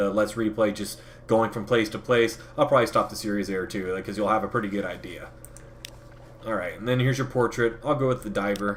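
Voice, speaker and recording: This man speaks very fast. His pitch sits fairly low. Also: fairly even intonation. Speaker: gaming youtuber. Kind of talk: let's play commentary. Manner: casual, with fillers.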